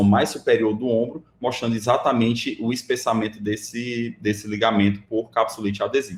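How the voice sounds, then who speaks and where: His intonation fairly even, a man speaks at a medium pitch. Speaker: radiologist lecturer. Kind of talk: lecture. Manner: fast.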